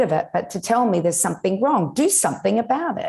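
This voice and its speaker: With an Australian accent, a woman speaks on a very clean recording with a silent background. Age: 60s. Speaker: nutritionist and regenerative farmer. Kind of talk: interview podcast.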